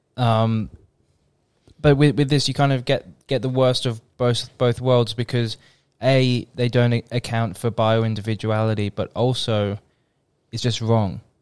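A man with an Australian accent, monotone and flat, at a fairly slow pace with long, frequent pauses, in a dry, close sound with no echo. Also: medium pitch for a man. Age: 20s. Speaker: podcast co-host. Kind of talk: casual chat. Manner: halting, repeats words.

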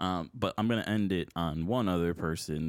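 In a very clean recording with a silent background, a man with an American accent talks at a fairly quick pace in a very deep, low voice with ordinary pitch variation. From Buffalo, New York. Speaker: sports podcast host. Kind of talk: casual chat. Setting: studio room with co-host.

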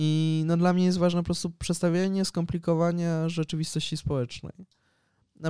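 On a very clean recording with a silent background, a man's high-pitched voice carries a dark, mellow tone and monotone, flat intonation. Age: 20s. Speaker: journalist and sociologist. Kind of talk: casual interview.

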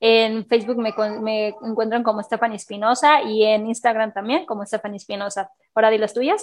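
At a fairly quick pace, a woman talks with fairly even intonation and a fairly high pitch. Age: 30s. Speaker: podcast co-host. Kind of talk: casual chat.

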